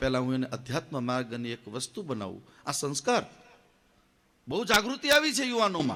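A man's ordinary speaking voice, fairly high-pitched, with lively intonation. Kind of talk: religious discourse. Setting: temple stage with audience.

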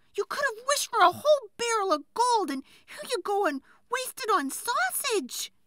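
Using a put-on character voice at an extremely high pitch, a woman speaks at a moderate pace with a fairly bright tone and big pitch swings.

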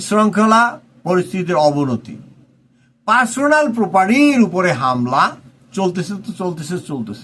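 A man is talking. His pitch swings very widely. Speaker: political commentator. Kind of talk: political commentary monologue.

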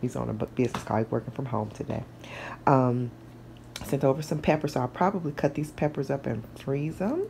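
In a put-on character voice that is raspy and quiet, the speaker moves at a fairly quick pace with long, frequent pauses over clear background noise. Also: woman, very deep, low pitch for a woman. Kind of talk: casual vlog chat. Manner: hushed.

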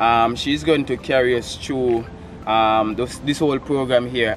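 A Jamaican accent at a moderate pace, with light background noise. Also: man. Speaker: vlogger and portrait artist; vlogger host. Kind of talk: casual vlog talk. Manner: animated. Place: garden. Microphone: camera far.

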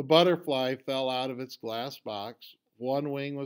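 Against a quiet background, an unforced reading voice keeps a fairly even intonation.

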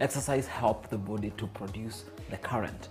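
Clear music plays behind the speaker. He is a man with a fairly low pitch. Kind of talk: interview answer. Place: office.

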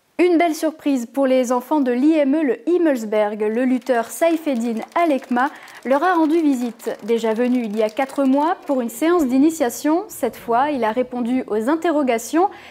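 With noticeable background noise behind her, a woman with a high voice talks at a moderate pace, with ordinary pitch variation and hardly any pauses. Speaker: news presenter. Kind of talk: news reading, scripted bulletin. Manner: formal, even-paced, neutral; clear, measured, informative.

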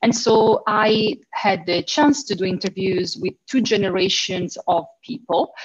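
In an Italian accent, a woman speaks at a fairly slow pace, somewhat breathy, with ordinary pitch variation. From Italy. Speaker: university lecturer. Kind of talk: panel discussion. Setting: video call. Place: home room. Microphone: video call.

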